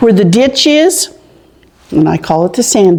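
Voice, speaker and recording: A woman with an American accent at a fairly slow pace, over noticeable background noise. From Farmersville, California (Central Valley). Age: 70s. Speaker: local elder sharing town history. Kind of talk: oral history interview.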